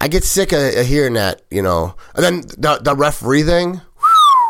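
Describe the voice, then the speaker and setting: A man speaks at a moderate pace in a bright, sharp tone. His delivery is animated, with lively intonation. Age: 40s. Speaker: podcast host. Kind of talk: casual chat.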